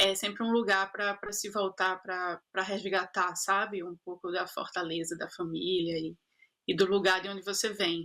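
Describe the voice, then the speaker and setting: A woman's medium-pitched, bright, sharp voice at a moderate pace, in monotone, flat intonation. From Brazil, Recife (Pernambuco). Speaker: actress and producer. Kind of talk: interview. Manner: halting, many repetitions.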